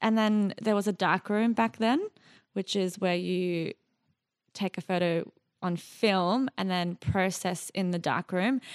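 Against a quiet background, a woman with a medium pitch speaks in an Australian accent at a fairly slow pace, in a dry, close sound with no echo. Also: ordinary pitch variation. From Iraq and Jordan as a child, raised in Australia from about age 10. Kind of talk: casual interview chat.

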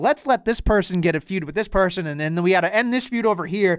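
A man with an American accent at a very fast pace with very wide pitch swings, dry and close with no echo, on a very clean recording with a silent background. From Boston North Shore, US. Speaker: wrestling podcast host. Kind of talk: casual chat.

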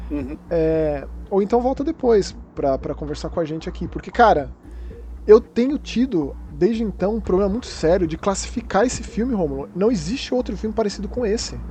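Noticeable background noise runs beneath speech delivered fairly quickly. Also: man. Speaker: podcast host. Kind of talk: casual chat.

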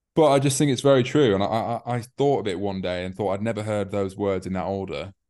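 A man talks with a Yorkshire accent. His pace is fairly quick. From northern England, York. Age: 20s. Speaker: e-commerce entrepreneur. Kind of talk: casual interview.

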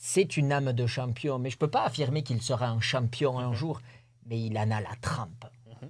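A somewhat breathy man at medium pitch, with fairly even intonation and a moderate pace, on a very clean recording with a silent background. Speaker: rodeo bull jumper. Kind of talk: interview. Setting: studio.

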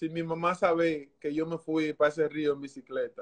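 A man at a moderate pace. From Dominican Republic, San Pedro de Macorís. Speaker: former baseball pitcher. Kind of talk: interview.

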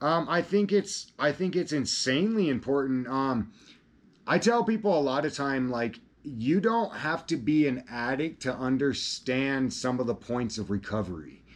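A man speaks with an American accent at a moderate pace. His pitch is fairly high and swings very widely. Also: quiet background. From Colorado. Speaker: electric skateboarding content creator and ambassador. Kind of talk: casual interview. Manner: halting, many repetitions and fillers.

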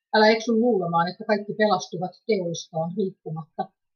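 Somewhat breathy, a woman talks at medium pitch and a moderate pace with fairly even intonation. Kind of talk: reading aloud a written testimony.

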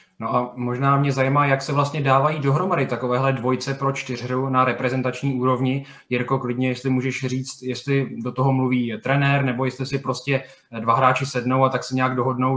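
Monotone and flat in intonation, a man speaks at a fairly quick pace. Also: medium pitch for a man. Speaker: podcast host. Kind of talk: casual interview.

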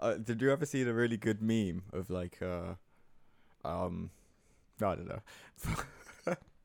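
Speaking at a fairly slow pace with long, frequent pauses, a man with a fairly low pitch uses lively intonation. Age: 20s. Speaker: podcast host. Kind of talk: casual chat.

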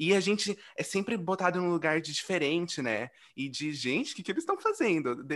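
Here a man talks with a high pitch and an animated tone. He moves at a fairly quick pace with lively intonation. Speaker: podcast host. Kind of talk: casual chat.

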